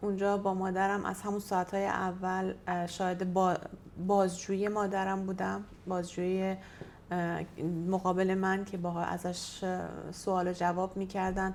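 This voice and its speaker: A woman at a medium pitch speaks at a moderate pace in a monotone, flat intonation. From Iran. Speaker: activist. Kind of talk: interview testimony. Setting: in-person interview via interpreter. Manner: halting.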